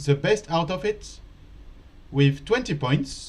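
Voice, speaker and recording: Fairly slow speech with a French accent. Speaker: chess teacher. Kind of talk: live commentary. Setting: live stream studio.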